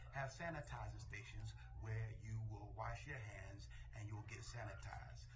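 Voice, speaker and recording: A man at a fairly slow pace against noticeable background noise. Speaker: senior pastor. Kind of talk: church announcement. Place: office. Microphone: phone near.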